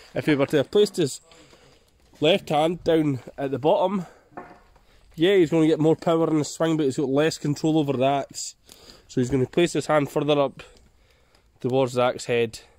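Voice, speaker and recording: A man with a Scottish accent talks at a moderate pace in a fairly high pitch, using ordinary pitch variation. He leaves long, frequent pauses, and the sound is dry with no echo. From Scotland. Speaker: bushcraft video creator. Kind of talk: outdoor tutorial vlog. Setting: outdoors in forest. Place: forest. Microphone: phone near.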